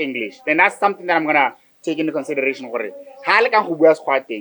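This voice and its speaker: A man in a Botswana accent, fairly high-pitched, very fast and with lively intonation. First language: Setswana. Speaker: podcast host. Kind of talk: casual chat.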